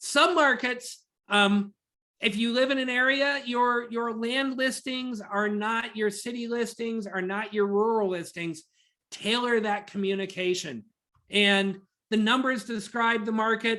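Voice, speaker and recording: At a fairly slow pace, a woman with an American accent speaks at a fairly high pitch in a bright, sharp tone. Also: ordinary pitch variation. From Virginia, US. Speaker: data analytics trainer presenting to realtors. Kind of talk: webinar presentation. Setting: video call webinar with screen sharing.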